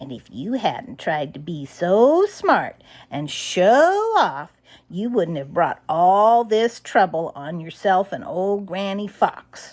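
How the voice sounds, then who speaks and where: A put-on character voice that sounds female speaks fairly slowly at a medium pitch. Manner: scolding.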